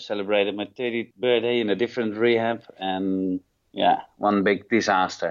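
The delivery moves at a moderate pace. Its intonation is monotone and flat. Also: man. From Netherlands. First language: Dutch. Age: 30s. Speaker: rehab program manager. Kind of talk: interview. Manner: halting.

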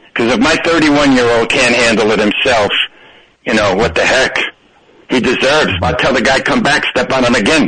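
A man's medium-pitched voice, bright and sharp in tone with a slightly husky edge, ordinary pitch variation and a moderate pace

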